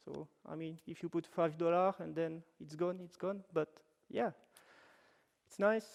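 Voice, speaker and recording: A man with a French-Swiss accent talks fairly slowly in a high voice, his loudness swinging widely and his pauses long and frequent. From French-speaking Switzerland. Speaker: web developer, workshop presenter. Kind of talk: technical workshop talk. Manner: casual, with fillers and self-corrections.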